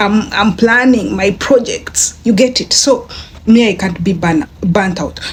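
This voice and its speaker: Animated in tone, a woman with a fairly high pitch and ordinary pitch variation speaks over noticeable background noise. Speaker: online business vlogger. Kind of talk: casual vlog talk. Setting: bedroom. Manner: halting.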